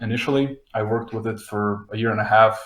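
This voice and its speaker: Speaking at a moderate pace with a Slovenian accent, a man has a somewhat breathy voice at a medium pitch. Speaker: front-end developer. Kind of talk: podcast panel interview. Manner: hesitant, many fillers.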